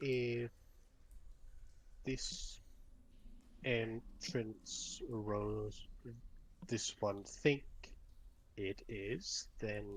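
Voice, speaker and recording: With clear background noise behind him, a man in a put-on character voice speaks at a very slow pace with long, frequent pauses. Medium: actual play. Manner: clipped, broken grammar, refers to self in third person.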